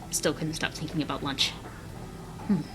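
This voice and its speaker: Background music is playing. A woman talks over it. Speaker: fanfiction reader. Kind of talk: reading aloud. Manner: fast. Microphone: laptop internal microphone.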